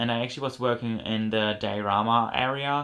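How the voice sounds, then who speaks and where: The speaker has a German accent and a fairly quick pace. The intonation stays fairly even. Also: man. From Germany. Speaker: model horse collector YouTuber. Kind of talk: haul video show-and-tell. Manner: casual, many fillers.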